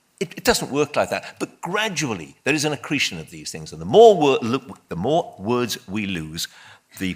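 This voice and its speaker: An animated man with a Welsh accent, his medium pitch swinging very widely and his loudness rising and falling sharply. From Wales. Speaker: debate panelist. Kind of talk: public debate. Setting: stage with audience.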